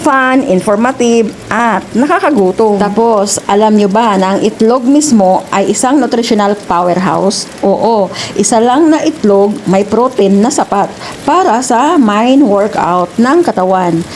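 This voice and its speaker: Someone speaks at a fairly slow pace with a Visayan accent and lively intonation, hardly pausing at all. Noticeable background noise runs underneath. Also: woman, fairly high pitch for a woman. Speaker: cooking vlogger. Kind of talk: casual storytelling while cooking. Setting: home kitchen. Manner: stumbling over words.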